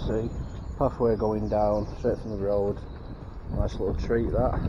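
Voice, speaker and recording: A man speaks in a fairly low voice. Background noise is noticeable. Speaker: magnet fishing vlogger. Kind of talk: casual vlog chat. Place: waterside. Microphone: phone near.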